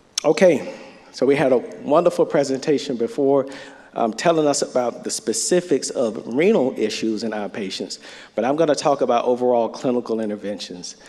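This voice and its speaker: Speaking with a North Florida accent, a man at medium pitch talks at a fairly quick pace with lively intonation. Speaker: physician presenter at medical conference. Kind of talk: lecture.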